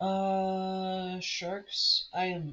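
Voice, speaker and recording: An American accent comes through. It belongs to a man. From United States. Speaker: game master streaming campaign prep. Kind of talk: casual live stream thinking aloud. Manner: halting, self-interrupting.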